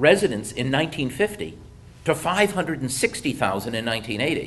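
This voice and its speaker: With an American accent, this voice moves at a moderate pace through very wide pitch swings. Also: man. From US Midwest (Detroit). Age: 60s. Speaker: economist presenter. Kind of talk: presentation.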